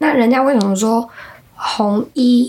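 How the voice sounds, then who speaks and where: Fairly slow, fairly high-pitched speech from a woman, its pitch varying in an ordinary way, against noticeable background noise. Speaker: podcast co-host explaining folk beliefs. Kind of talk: casual chat.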